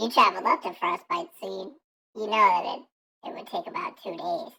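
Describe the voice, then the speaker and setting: In a put-on character voice, the speaker sounds squeaky and raspy, high in pitch and at a moderate pace. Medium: actual play.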